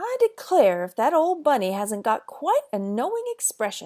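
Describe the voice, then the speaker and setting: A woman in a put-on character voice speaks at a moderate pace in a high pitch, swinging very widely up and down. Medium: read story. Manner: brisk, grumbling.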